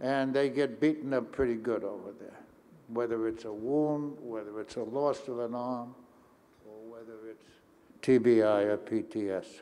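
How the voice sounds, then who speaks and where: A man speaks at a moderate pace in a dark, mellow tone with medium pitch. His intonation stays fairly even while his loudness swings widely. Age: 80s+. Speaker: philanthropist. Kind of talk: panel talk.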